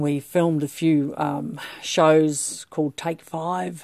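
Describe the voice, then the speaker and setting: Her voice very deep and low, a woman with an Australian accent speaks in a dark, mellow, warm tone. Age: 60s. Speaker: podcast host, menopause club founder. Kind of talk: solo podcast monologue. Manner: warm, hesitant with many fillers.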